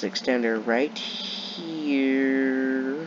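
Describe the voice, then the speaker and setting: A man's pitch rises and falls in an ordinary way while noticeable background noise runs beneath. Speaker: gaming youtuber. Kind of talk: gameplay commentary.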